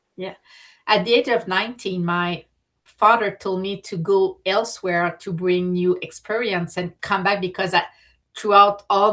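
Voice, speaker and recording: A woman speaks at a medium pitch in a French Canadian accent, her bright, sharp tone delivered at a fairly slow pace with monotone, flat intonation against a quiet background. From Quebec. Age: 50s. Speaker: artist and entrepreneur. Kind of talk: interview. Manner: halting.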